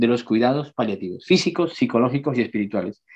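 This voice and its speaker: A man speaks with lively intonation. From outside Spain. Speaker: palliative care doctor, geriatrician. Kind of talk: lecture.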